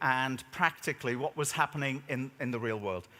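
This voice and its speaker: In an English accent, a man talks with a bright, sharp tone. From Switzerland, schooled in the UK. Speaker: keynote speaker. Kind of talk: conference keynote speech. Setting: stage with audience. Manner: animated, joking.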